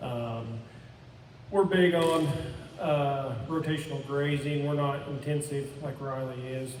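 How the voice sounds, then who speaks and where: A man with an American accent speaks at a fairly slow pace, his pitch fairly high. The room echo is audible, and background noise is noticeable. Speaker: farmer and rancher. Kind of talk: panel presentation.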